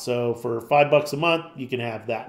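A man speaks in an unremarkable speaking voice. He keeps a moderate pace with ordinary pitch variation. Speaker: tutorial presenter. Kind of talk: tutorial. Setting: screen recording. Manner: casual, informal.

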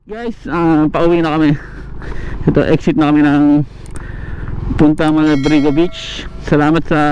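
A man speaks at a moderate pace with fairly even intonation. The sound is dry with no echo, and light background noise sits underneath. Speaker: moto vlogger. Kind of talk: casual vlog chat. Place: motorbike.

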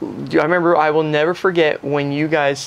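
A man's voice with fairly even intonation. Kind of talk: casual interview chat. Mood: warm, nostalgic, amused. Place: home room.

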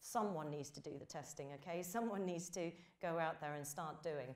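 Her pace sits at a moderate level. This woman has a British accent. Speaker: games industry trade body leader. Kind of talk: conference keynote. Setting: stage with audience. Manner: hesitant, many fillers.

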